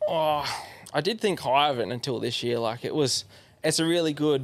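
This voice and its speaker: A man speaks at a moderate pace with an Australian accent. His pitch varies in an ordinary way. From Australia, Yarra Valley east of Melbourne. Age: 20s. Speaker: pro enduro motorbike rider. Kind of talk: casual chat.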